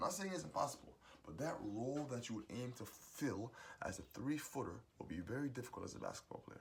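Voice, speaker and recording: Talking at a very fast pace, a man's voice carries vocal fry. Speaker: musician sharing life advice. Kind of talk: motivational monologue.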